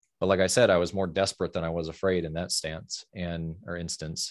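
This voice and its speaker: A man speaks with an American accent in a monotone, flat intonation. The background is quiet. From US Midwest, Fort Wayne, Indiana. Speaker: psychedelic integration coach and former Marine. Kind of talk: interview storytelling.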